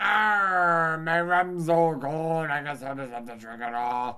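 A man puts on a character voice, pitched fairly high. He speaks at a fairly slow pace. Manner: lamenting the rum is gone.

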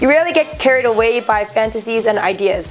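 Over music in the background, a woman with a Canadian accent speaks at a fairly quick pace. Her pitch is fairly high, with ordinary variation. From Toronto, Canada and Hong Kong. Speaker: lifestyle vlogger. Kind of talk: casual talk to camera.

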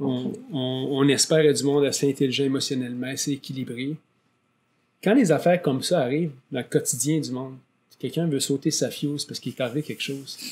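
At a fairly quick pace, a man speaks in a plain, everyday voice, its pitch varying in an ordinary way. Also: fairly high pitch for a man. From Quebec. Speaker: podcast host and real estate agent; podcast host. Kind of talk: interview. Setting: studio. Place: studio. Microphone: studio mic.

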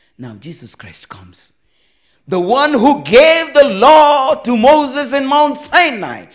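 Against a quiet background, a man is speaking. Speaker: preacher. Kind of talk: call-and-response sermon, explaining commandments with everyday marriage example. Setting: church camp meeting, also streamed online. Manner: interactive, prompting congregation for amens; earnest, reiterating points to clear confusion. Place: tent. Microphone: handheld.

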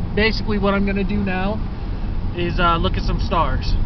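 There is noticeable background noise behind a man's voice, and the sound is dry with no echo. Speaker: road trip vlogger driving. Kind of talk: casual vlog chat. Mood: nervous, scared of darkness. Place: car. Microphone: phone near.

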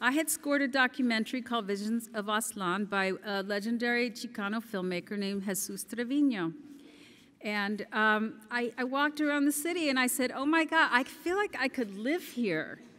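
A woman's bright, sharp tone at a moderate pace. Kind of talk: gala acceptance speech. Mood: warm, grateful. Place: hall. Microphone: podium.

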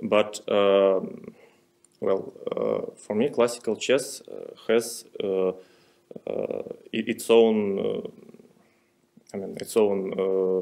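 A man's voice at a very slow pace, long and frequent pauses, loudness swinging widely, over a quiet background. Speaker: interviewee. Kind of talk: interview answer. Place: hall. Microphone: podium.

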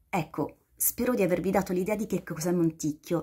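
Over a quiet background, a woman speaks in a medium pitch with ordinary pitch variation. Her voice is somewhat breathy, with a dark, mellow tone. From Basilicata, southern Italy. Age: 40s. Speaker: guest. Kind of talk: short video appeal. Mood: warm, enthusiastic. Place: home room. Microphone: phone near.

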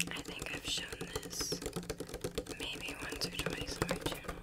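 A woman whispers at a fairly slow pace. She is soft-spoken. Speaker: video creator. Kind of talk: casual product show-and-tell. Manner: soft close-mic ASMR whisper.

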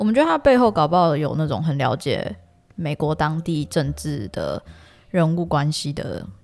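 Over music in the background, a woman with a very deep, low pitch talks at a moderate pace. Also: lively intonation. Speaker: political podcast co-host. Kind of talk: casual political chat. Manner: loud.

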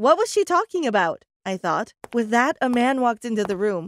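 Her voice is an unremarkable speaking voice, fairly high for a woman, with lively intonation at a moderate pace, the sound dry and close with no echo. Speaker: storyteller. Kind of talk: dramatic first-person storytelling narration.

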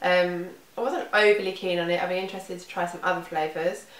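A woman's fairly low voice at a very fast pace, fairly even in intonation, with audible room echo. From UK. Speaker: beauty vlogger. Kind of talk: product review monologue. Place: home room. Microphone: camera far.

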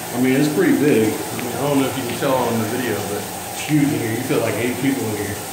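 A man speaks at a fairly quick pace with ordinary pitch variation. Noticeable background noise and audible room echo surround him. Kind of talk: casual vlog tour. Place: bathroom. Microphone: phone near.

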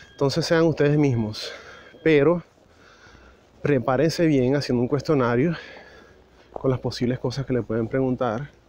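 A medium-pitched man at a moderate pace, with long, frequent pauses. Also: fairly even intonation. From Venezuela. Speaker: immigration vlogger. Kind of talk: walking vlog monologue. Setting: outdoors, walking on the street. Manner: casual, hesitant with fillers.

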